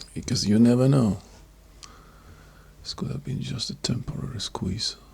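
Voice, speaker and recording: A quiet man talks at a moderate pace with big swings in loudness over noticeable background noise. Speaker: day trader streaming live trades. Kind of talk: live trading commentary. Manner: very quiet; calm, focused.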